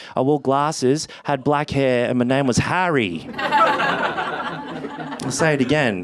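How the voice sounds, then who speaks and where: Over noticeable background noise, a man with an Australian accent speaks at a very slow pace. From Wollongong, NSW, Australia. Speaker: stand-up comedian. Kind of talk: stand-up comedy set.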